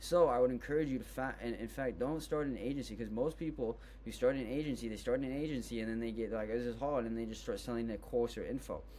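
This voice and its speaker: A man talking at a very fast pace with hardly any pauses. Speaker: business tutorial creator. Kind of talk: tutorial. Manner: casual, filler-heavy.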